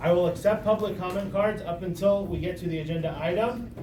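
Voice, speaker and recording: A man speaks loudly at a fairly quick pace. Audible room echo and noticeable background noise surround his voice. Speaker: community planning group chair. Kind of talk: public meeting chairing. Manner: formal.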